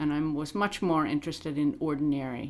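With an American accent, a woman speaks at a very deep, low pitch and a fairly quick pace in a monotone, flat intonation, on a very clean recording with a silent background. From US Midwest, Illinois. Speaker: archaeologist. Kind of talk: interview.

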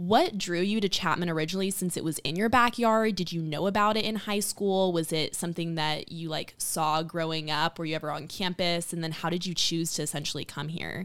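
A woman with an American accent speaks at a fairly quick pace with hardly any pauses. Her pitch is fairly low, with ordinary variation. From Southern California, San Diego. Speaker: admission counselor, show host. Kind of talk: casual interview.

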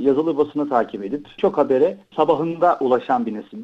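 A plain, everyday voice from a man, fairly high in pitch, fairly quick, with ordinary pitch variation. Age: 40s. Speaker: tech company executive. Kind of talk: interview.

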